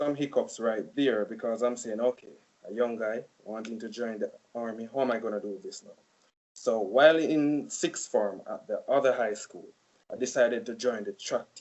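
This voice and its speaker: A man with a Jamaican accent, medium pitch, ordinary pitch variation, moderate pace and big swings in loudness. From Jamaica (Saint Elizabeth). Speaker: college student. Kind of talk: casual interview.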